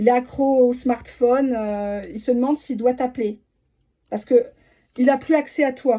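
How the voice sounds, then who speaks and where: Dark and mellow in tone, the voice keeps a fairly even intonation with long, frequent pauses on a very clean recording with a silent background. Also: woman, high pitch for a woman. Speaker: tarot reader. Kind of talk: tarot reading for viewers. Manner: fast.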